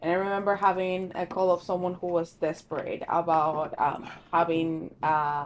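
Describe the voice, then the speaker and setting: This woman has a non-native accent. Her voice sits at a medium pitch. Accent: foreign. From Argentina. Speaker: secretary at a law firm. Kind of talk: casual chat.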